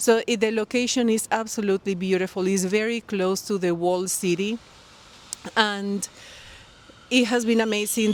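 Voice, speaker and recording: Speaking with a Colombian accent, a woman keeps a moderate pace and a medium pitch. Her intonation is monotone and flat. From Colombia, Barranquilla. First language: Spanish. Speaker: knitting podcaster. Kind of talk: casual vlog talk to camera. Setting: outdoors by a pool. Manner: halting, many fillers.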